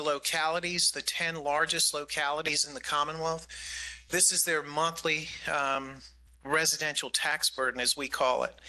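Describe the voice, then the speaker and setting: The man's voice is fairly high with a bright, sharp tone. He keeps a moderate pace and a flat, monotone intonation. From US Northeast, New York City. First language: Greek. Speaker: county government official. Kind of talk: budget presentation at public meeting. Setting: community meeting with audience.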